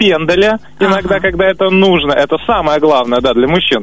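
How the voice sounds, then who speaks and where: The speaker goes at a very fast pace with ordinary pitch variation. There is noticeable background noise. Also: man. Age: 20s. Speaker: radio caller. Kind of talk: call-in conversation.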